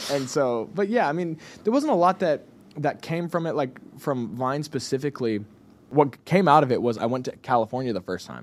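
On a very clean recording with a silent background, a man with a fairly high pitch talks at a fairly quick pace with lively intonation. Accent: Texan. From Texas (Cleburne, small rural town). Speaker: musician. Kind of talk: casual chat. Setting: studio.

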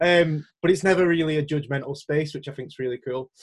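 With a Lancashire accent, a man speaks fairly quickly at a fairly high pitch, showing ordinary pitch variation. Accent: Wigan, Lancashire. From Wigan, northern England. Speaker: podcast host. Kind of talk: casual interview conversation.

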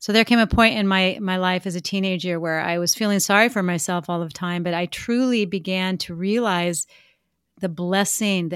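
Very clean, with a silent background, this recording captures a woman with a plain, everyday voice. She speaks at a medium pitch and moderate pace with ordinary pitch variation. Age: 50s. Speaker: former Olympic skier and speaker. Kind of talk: interview conversation.

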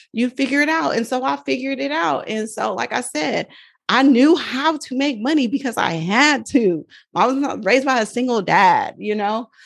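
A woman speaks with an American accent at a moderate pace and a high pitch. Her tone is animated and her intonation lively. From Oakland, California. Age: 40s. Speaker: nurse and personal finance educator. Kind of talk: casual interview chat.

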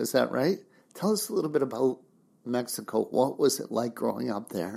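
A dark, mellow tone with vocal fry. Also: man. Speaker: podcast host. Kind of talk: interview.

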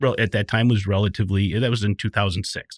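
Dry and close with no echo, this very clean recording with a silent background has a man speaking in an Upper Midwest US accent at medium pitch with fairly even intonation. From southeastern Wisconsin. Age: 50s. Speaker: construction safety manager. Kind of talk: casual interview. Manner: hesitant, many fillers.

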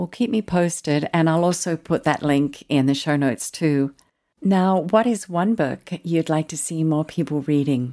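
With a slight Australian accent, a woman speaks at a moderate pace in a very deep, low voice with a dark, mellow tone. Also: ordinary pitch variation, very clean recording, silent background. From Australia, Tasmania. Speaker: podcast host. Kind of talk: interview.

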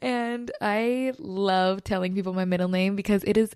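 Speaking at a moderate pace with a Californian accent, a woman sounds animated and enthusiastic, her medium pitch showing ordinary variation on a very clean recording with a silent background. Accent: Californian valley. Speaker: podcast host. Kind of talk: casual solo podcast monologue, upbeat. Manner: animated, enthusiastic.

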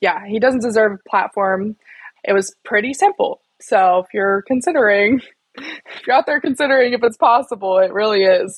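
In a dry, close sound with no echo, a woman with an American accent and fairly high pitch speaks at a moderate pace with ordinary pitch variation. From West Virginia. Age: 20s. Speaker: climate activist. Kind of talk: interview.

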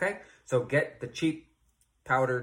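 His voice sits at a medium pitch with ordinary pitch variation and some vocal fry. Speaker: podcast host. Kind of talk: solo explainer monologue. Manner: many filler words, uh and um.

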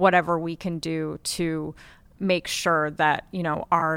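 A woman talks at a fairly slow pace in a very deep, low pitch. Her tone is bright and sharp, and her intonation is monotone and flat. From Montana, Flathead Indian Reservation. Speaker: guest. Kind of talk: casual chat.

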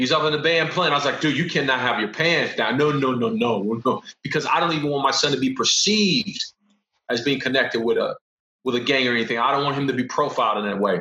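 A man with a fairly high pitch speaks at a very fast pace with lively intonation. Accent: American. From Los Angeles, US. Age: 40s. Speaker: professor. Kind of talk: casual chat.

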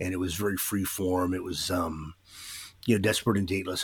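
Speaking at a fairly quick pace, a man with an American accent has a very deep, low pitch, a somewhat breathy sound, and monotone, flat intonation. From Vancouver, Washington (US Pacific Northwest). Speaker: radio DJ. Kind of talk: casual interview.

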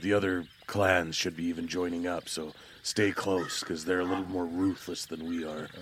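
Against clear background noise, a man uses a put-on character voice with a very deep, low pitch, monotone, flat intonation, and a moderate pace. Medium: actual play. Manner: gruff, hostile, suspicious; blunt and commanding.

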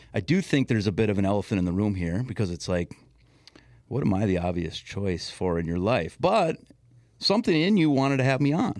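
A man with an American accent talks at a fairly quick pace in an ordinary speaking voice, fairly low in pitch. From Minnesota, Twin Cities west metro. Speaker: youth sports coach, COVID survivor. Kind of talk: casual chat.

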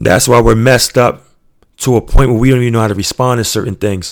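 A man talks at a very fast pace in a New York accent. His intonation stays fairly even. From US Northeast (Queens, New York). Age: 30s. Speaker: podcast host. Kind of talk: motivational monologue. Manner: earnest, emphatic.

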